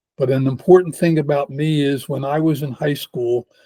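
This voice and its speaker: Dark, mellow tone, somewhat breathy, at a fairly quick pace with fairly even intonation in a dry, close sound with no echo. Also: man. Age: 80s+. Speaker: geneticist and entrepreneur. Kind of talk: casual interview.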